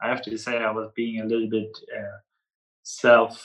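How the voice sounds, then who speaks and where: A man speaks at a fairly slow pace with a German accent. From northern Germany, near the Danish border. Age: 20s. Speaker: podcast guest. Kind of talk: casual interview.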